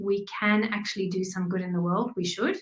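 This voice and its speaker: Here a woman talks with a South African accent. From South Africa, small town near Kruger. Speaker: graphic designer and business owner. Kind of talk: interview.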